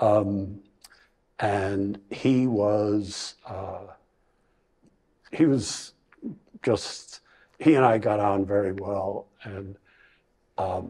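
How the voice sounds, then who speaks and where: A man speaks at a very slow pace with long, frequent pauses. His fairly low voice keeps fairly even intonation but has big swings in loudness. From Ireland, Bray near Dublin. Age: 70s. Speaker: retirement community resident. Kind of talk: interview. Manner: halting.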